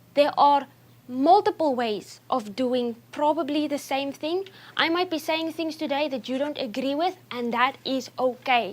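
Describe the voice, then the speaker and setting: High female voice with a non-native accent, fairly slow pace and ordinary pitch variation. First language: not English. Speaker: nutrition speaker. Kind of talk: talk to an audience. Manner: speeds up when excited.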